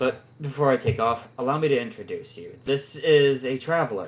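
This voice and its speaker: Putting on a character voice, a man talks raspily at a moderate pace and medium pitch, with ordinary pitch variation and big swings in loudness. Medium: actual play. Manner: authoritative, formal.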